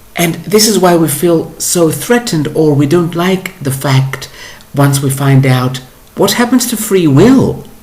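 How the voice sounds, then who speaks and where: Over noticeable background noise, a man with a fairly high pitch speaks at a fairly slow pace with lively intonation. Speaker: spiritual teacher. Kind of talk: monologue. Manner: halting.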